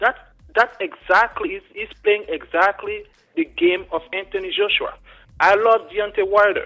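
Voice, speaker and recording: Music plays in the background as a man with an African accent talks. His pitch is high, his pace moderate and his pitch variation ordinary. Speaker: caller. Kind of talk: call-in comment. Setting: phone call.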